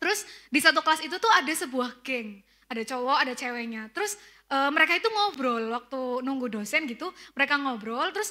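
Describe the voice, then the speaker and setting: Her voice raised and projected, a woman speaks at a moderate pace with a bright, sharp tone and very wide pitch swings. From Tegal, Central Java, Indonesia. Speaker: preacher. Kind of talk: sermon. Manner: casual conversational.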